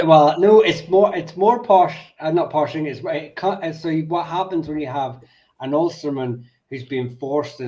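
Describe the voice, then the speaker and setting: At a moderate pace, a man speaks in a dark, mellow tone, his pitch fairly high with ordinary pitch variation. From Ulster, Northern Ireland.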